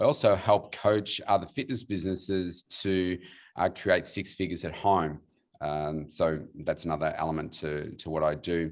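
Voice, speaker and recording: The speaker has an Australian accent and a moderate pace with ordinary pitch variation. The recording is very clean, with a silent background. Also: man, very deep, low pitch for a man. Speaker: weight loss coach. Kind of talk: panel self-introduction. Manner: halting, many fillers.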